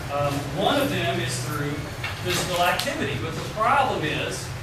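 Amid loud background noise and audible room echo, a man speaks. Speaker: university professor and researcher. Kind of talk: seminar lecture. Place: classroom. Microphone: camera far.

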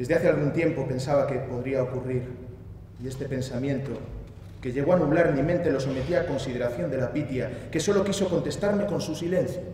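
A man's fairly quick speech with ordinary pitch variation, light background noise and audible room echo. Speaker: actor giving a dramatic reading. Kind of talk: theatrical monologue reading. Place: stage. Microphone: headset.

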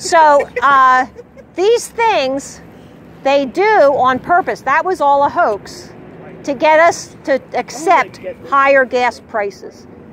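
A woman at a high pitch with very wide pitch swings and a very slow pace, dry with no echo, over light background noise. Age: 60s. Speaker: flat earth street activist; speaker. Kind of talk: heated debate; impassioned street talk. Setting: outdoors. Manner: animated. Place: street. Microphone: camera far.

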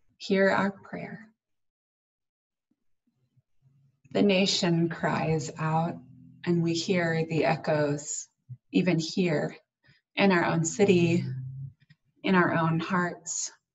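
Against a quiet background, a woman with a fairly low pitch and a somewhat breathy voice talks at a very slow pace, with long, frequent pauses and fairly even intonation. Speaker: minister. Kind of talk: prayer. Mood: solemn, slow, measured. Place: home room. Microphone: webcam.

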